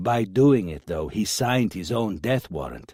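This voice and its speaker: Putting on a character voice, a man growls at a moderate pace with a fairly low pitch and very wide pitch swings. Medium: read story. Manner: earnest, intense.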